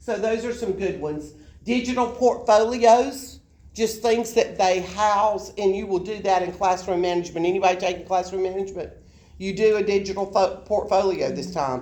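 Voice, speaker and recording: A woman with a South Alabama accent speaks at a moderate pace in a medium pitch, her dark, mellow tone showing ordinary pitch variation over audible room echo. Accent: Southern US, South Alabama dialect. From US South, South Alabama. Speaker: college education instructor. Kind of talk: lecture. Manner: conversational, informal.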